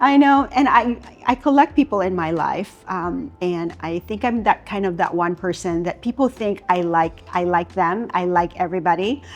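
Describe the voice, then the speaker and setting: A woman talks at a moderate pace with lively intonation and hardly any pauses. Noticeable background noise runs underneath. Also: medium pitch for a woman. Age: 60s. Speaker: retired corporate talent leader. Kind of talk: interview conversation.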